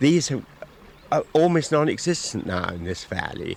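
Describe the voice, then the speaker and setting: Very wide pitch swings from a man at a moderate pace, over noticeable background noise. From southern England. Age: 70s. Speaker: angler and local resident. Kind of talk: radio interview. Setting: outdoors by a river.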